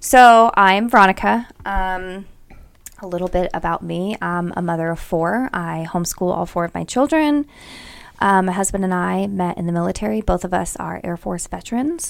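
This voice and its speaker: A woman with an unremarkable speaking voice and medium pitch. Her intonation is lively and her pace moderate. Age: 30s. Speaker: podcast co-host. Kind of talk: casual chat.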